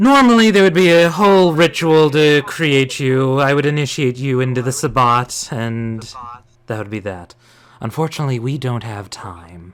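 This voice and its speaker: A man's put-on character voice, medium in pitch, at a moderate pace. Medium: actual play. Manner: composed, slightly mocking.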